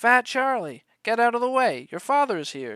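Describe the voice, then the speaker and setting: In a loud, booming, put-on character voice, someone speaks at a moderate pace with a fairly high pitch. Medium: read story.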